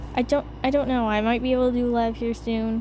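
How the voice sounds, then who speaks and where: A woman's fairly high-pitched mumbling, monotone and flat, at a fairly quick pace. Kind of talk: casual Q&A voiceover. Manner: mumbled.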